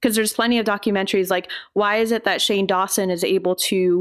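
On a very clean recording with a silent background, a woman speaks in an unremarkable speaking voice at medium pitch with fairly even intonation. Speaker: online content creator and filmmaker. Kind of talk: casual interview chat.

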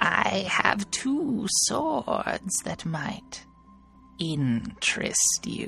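This put-on character voice sits at a middle pitch and moves at a very slow pace. Clear music plays in the background. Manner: eerie, echoing in the mind.

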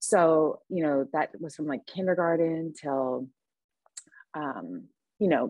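A woman talks fairly slowly, with ordinary variation in her pitch. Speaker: recovering alcoholic and mother. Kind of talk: casual chat; testimony.

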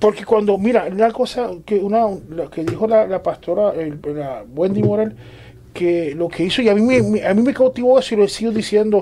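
Noticeable background noise sits behind a man who talks fairly quickly with lively intonation. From Puerto Rico. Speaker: church member discussing faith. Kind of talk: religious panel discussion.

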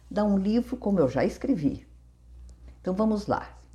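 A woman talks at a moderate pace and medium pitch, her tone dark and mellow and somewhat breathy. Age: 70s. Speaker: mental health podcaster and author. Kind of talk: reading aloud from own memoir.

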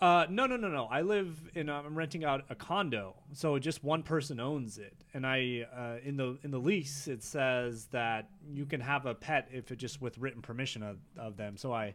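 A man with a normal speaking voice and a fairly high pitch talks at a moderate pace with hardly any pauses and ordinary pitch variation. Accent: American. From Northern California (Davis). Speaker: lawyer. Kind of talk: casual chat. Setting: outdoors on a patio.

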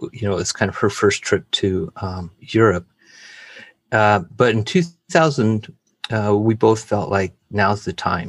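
Somewhat breathy, a man speaks with an American accent at a fairly low pitch and a fairly slow pace. His pitch variation is ordinary, and the recording is very clean with a silent background. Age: 50s. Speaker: missionary. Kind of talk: interview testimony.

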